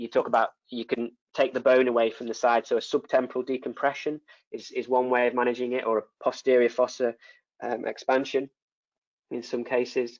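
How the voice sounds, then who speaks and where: A man with a northern English accent talks fairly quickly at a medium pitch, his intonation monotone and flat, with long, frequent pauses. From northern England. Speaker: neurosurgeon. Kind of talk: lecture Q&A. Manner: halting, many repetitions.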